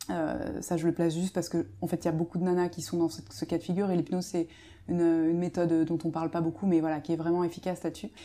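A woman's dark, mellow tone comes through a very clean recording with a silent background. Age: 30s. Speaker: media co-founder, former radiologist. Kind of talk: casual interview chat. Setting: host's home.

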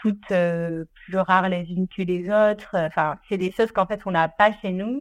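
A woman speaks at a fairly slow pace with a medium pitch. Her intonation stays fairly even, and the recording is very clean with a silent background. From France, Ardèche. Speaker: content creator. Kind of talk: interview. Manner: hesitant, many fillers.

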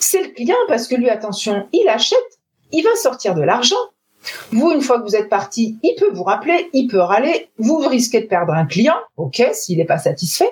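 A woman's high-pitched voice with very wide pitch swings at a moderate pace. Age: 40s. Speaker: sales trainer. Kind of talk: interview.

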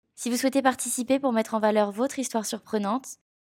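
Her intonation monotone and flat, a woman speaks at a very fast pace. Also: very clean recording, silent background. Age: 20s. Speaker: podcast host, freelance graphic designer. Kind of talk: scripted narration.

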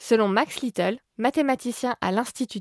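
A woman speaks at a fairly slow pace with ordinary pitch variation, the sound dry and close with no echo in a very clean recording over a silent background. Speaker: science podcast host. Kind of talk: scripted narration. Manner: soft-spoken.

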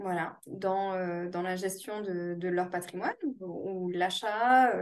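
This woman's voice sits at a medium pitch. She speaks with monotone, flat intonation. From France, Toulouse. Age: 30s. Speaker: real estate investor. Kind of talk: interview. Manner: hesitant, many fillers.

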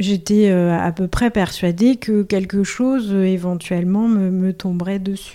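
A woman speaks at a very slow pace with hardly any pauses, her dark, mellow tone carried on fairly even intonation. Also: medium pitch for a woman. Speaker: cancer patient. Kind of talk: testimony.

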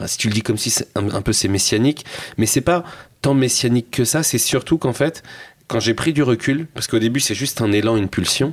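Here is a plain, everyday voice from a man at medium pitch. He goes at a fairly quick pace with ordinary pitch variation. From France, Seine-Saint-Denis (Paris suburbs). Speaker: social entrepreneur and documentary filmmaker. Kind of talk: casual interview chat.

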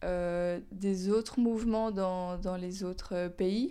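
On a very clean recording with a silent background, a woman with a dark, mellow tone speaks at a very slow pace with fairly even intonation. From Belgium, Walloon Brabant. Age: 20s. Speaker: climate activist and student. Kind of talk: interview. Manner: halting.

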